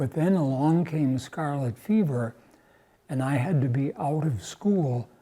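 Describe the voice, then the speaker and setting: A man at a very slow pace, somewhat breathy and dark and mellow in tone, with ordinary pitch variation, on a very clean recording with a silent background. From US Upper Midwest, Milwaukee, Wisconsin. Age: 90s. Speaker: retired churchgoer, Korean War era veteran. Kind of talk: oral history interview. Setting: cathedral. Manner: halting, with false starts.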